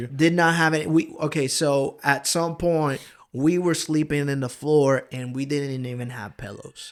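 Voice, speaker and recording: A man with a strong Honduran accent speaks at a moderate pace and fairly high pitch, his intonation fairly even but his loudness swinging widely, in a very clean recording with a silent background. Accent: thick Honduran Spanish. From Honduras, raised partly in Georgia, US. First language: Spanish. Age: 30s. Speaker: pastor. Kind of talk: casual interview chat. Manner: casual, hesitant with fillers.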